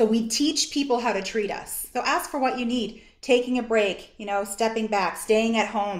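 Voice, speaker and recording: Her voice is an unremarkable speaking voice, as a woman speaks in a fairly high pitch at a moderate pace with hardly any pauses and ordinary pitch variation. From Canada, East Coast (Nova Scotia). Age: 40s. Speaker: social work association executive director. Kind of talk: workshop presentation. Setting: video call.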